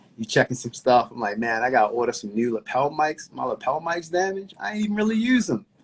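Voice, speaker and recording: A man's fairly high voice at a very fast pace, with very wide pitch swings and hardly any pauses. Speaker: podcast host. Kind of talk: casual chat.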